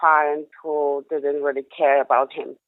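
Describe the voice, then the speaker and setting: Someone with a Polish accent speaks at a fairly slow pace. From Poland. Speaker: caller. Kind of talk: phone call to a live show.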